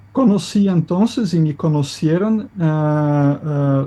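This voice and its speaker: Speaking at a very slow pace with a Brazilian accent, a man uses a fairly high pitch and a dark, mellow tone. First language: Portuguese (speaking Spanish). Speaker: economist. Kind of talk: interview.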